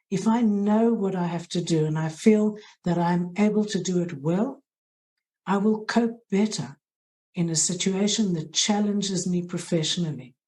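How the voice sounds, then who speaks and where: A woman with a South African accent has a dark, mellow tone and a somewhat breathy voice. She speaks at a moderate pace with ordinary pitch variation. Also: medium pitch for a woman. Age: middle-aged. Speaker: head of hospital social work. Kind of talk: interview. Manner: halting.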